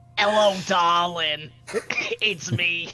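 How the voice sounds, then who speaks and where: A put-on character voice at a middle pitch, with faint music in the background. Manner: sweetly coaxing.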